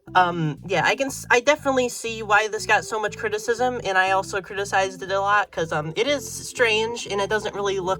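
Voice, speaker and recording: A woman's medium-pitched voice at a moderate pace, lively in intonation, with music in the background. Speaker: toy collector YouTuber. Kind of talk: unboxing review. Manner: hesitant with many fillers.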